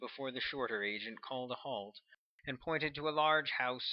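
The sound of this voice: Over a quiet background, the pitch of an unforced reading voice varies in an ordinary way.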